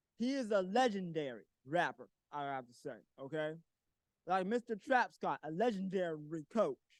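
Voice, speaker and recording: A loud man at a moderate pace, high-pitched, with very wide pitch swings and a dry, close sound with no echo. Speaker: community activist, public commenter. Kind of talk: public comment at town hall. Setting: town hall meeting in council chambers.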